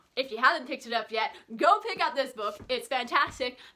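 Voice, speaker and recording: A woman's excited, raised and projected voice, bright and sharp in tone, with very wide pitch swings. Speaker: book youtuber. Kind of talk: book review vlog. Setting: home. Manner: hyper, excited; loud, shouting.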